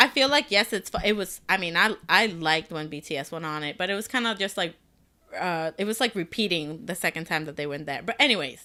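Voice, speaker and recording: With a bright, sharp tone and lively intonation, a woman with a fairly low pitch talks at a fairly quick pace, her loudness swinging widely in a very clean recording with a silent background. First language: not English. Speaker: podcast co-host. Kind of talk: casual chat.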